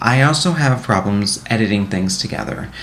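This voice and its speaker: With audible room echo and noticeable background noise, a man speaks at a fairly low pitch with ordinary pitch variation. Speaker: college student. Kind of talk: reflective monologue to camera. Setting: recorded to camera. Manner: fast; halting.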